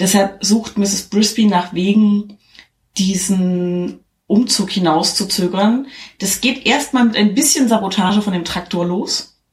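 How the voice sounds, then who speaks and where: Speaking very slowly, a woman uses medium pitch and ordinary pitch variation. Her voice is somewhat breathy. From eastern Germany. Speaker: podcaster. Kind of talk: plot summary; casual chat.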